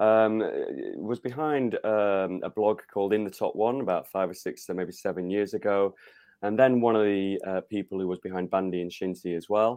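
A man with a South Yorkshire accent and a fairly low pitch. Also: ordinary pitch variation, moderate pace. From northern England, Rotherham (South Yorkshire). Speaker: football author and fan. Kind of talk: interview. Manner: hesitant with fillers.

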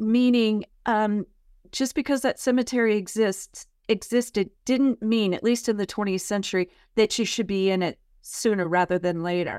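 A woman with an American accent speaks in a plain, everyday voice at a fairly high pitch and a moderate pace, with ordinary pitch variation, in a dry, close sound with no echo and a very clean recording over a silent background. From California, San Francisco Bay Area. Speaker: history professor. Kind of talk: interview.

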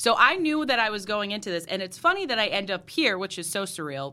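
Speaking very fast, a woman with an American accent has a tone that is both bright and sharp and warm. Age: 30s. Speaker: TV news reporter. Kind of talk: casual interview chat. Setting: studio. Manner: warm, friendly, laughs often.

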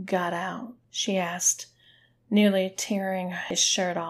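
A passage is read aloud in a natural voice.

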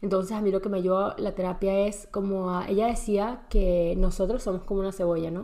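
In a room with audible echo, a woman talks at a fairly quick pace with a monotone, flat intonation. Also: medium pitch for a woman. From Venezuela. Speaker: podcast host. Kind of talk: personal monologue. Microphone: laptop camera mic.

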